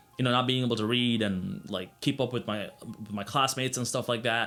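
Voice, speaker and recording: Over music in the background, a man at a medium pitch talks at a fairly quick pace with ordinary pitch variation. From Sri Lanka, moved to US at ten. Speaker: YouTuber. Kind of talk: personal story vlog. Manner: casual, many fillers.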